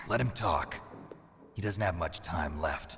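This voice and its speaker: A man's raspy put-on character voice, very deep and low, at a fairly slow pace over clear background noise. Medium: video game. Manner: terse, gruff.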